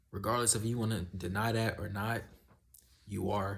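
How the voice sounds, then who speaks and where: This man's fairly low voice is somewhat breathy, with monotone, flat intonation at a moderate pace. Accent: American. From US South. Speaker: YouTuber giving life advice. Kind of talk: casual vlog monologue. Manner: casual, conversational.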